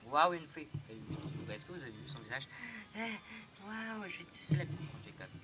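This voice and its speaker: A man's lively intonation comes through noticeable background noise. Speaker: gaming youtuber. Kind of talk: let's play commentary. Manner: fast; halting.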